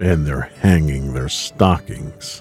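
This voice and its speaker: Over faint background music, a man does a put-on character voice with a very deep, low pitch. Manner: snarling, sneering.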